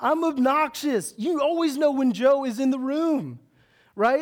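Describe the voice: At a fairly slow pace, a man speaks with an extremely high pitch.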